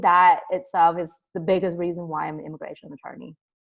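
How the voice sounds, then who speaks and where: A woman talks at a fairly quick pace with a fairly low pitch. Hers is an unremarkable speaking voice. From immigrated to the US at age ten. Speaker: immigration lawyer. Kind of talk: interview. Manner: casual, with frequent fillers.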